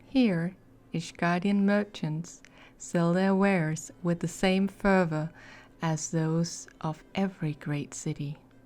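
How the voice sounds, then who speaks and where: A woman's fairly low voice at a very slow pace, with fairly even intonation, on a very clean recording with a silent background. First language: not English. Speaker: ASMR / gaming content creator. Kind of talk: ASMR lore reading. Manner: soft-spoken, relaxed.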